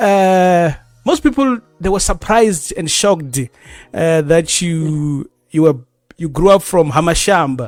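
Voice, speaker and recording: A man's high-pitched voice with lively intonation at a moderate pace, music in the background. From South Africa, Venda village. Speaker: radio host. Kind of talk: radio interview.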